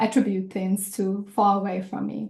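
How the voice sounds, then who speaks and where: A woman speaks at a fairly slow pace. Her voice is somewhat breathy, with a dark, mellow tone. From South Africa. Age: 40s. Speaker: executive coach. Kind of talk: reflective talk to workshop group.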